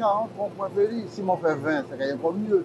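A man speaks at a moderate pace, the sound dry with no echo and noticeable noise in the background. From Martinique. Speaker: local politician. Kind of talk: political statement. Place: street. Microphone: lapel.

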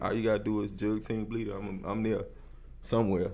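A man with a fairly low voice speaks in a monotone, with flat intonation. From Austin, Texas. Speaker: rapper; interview guest. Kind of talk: casual interview. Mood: relaxed, casual. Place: studio. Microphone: studio mic.

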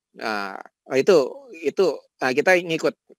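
A man's voice with a dry, close sound and no echo. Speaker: professor and AI researcher. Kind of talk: webinar lecture. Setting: video call from home. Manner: casual, relaxed.

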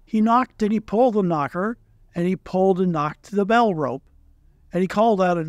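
In plain reading aloud, the pitch shifts in an ordinary way.

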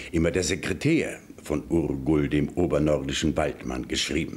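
A man at a fairly slow pace with fairly even intonation. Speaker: news presenter. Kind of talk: fairy tale reading. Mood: warm, lively storytelling. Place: studio. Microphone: studio mic.

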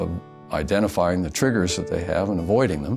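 A man's very deep, low voice with ordinary pitch variation over clear music in the background. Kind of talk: interview answer. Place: office.

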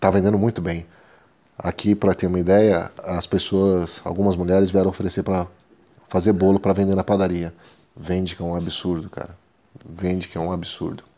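A man speaks in a very deep, low voice with a dark, mellow tone and a monotone, flat intonation. His pace is fairly quick, though he pauses long and often. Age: 40s. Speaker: business owner and video blogger; video blogger. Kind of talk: casual talk-to-camera advice video. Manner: halting, frequent filler hesitations. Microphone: earbuds.

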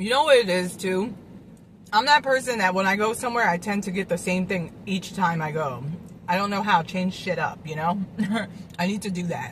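A woman with a somewhat breathy voice talks at a moderate pace with ordinary pitch variation, the sound dry with no echo and light background noise behind her. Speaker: food vlogger. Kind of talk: casual vlog chat. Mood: relaxed, playful. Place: car. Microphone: phone near.

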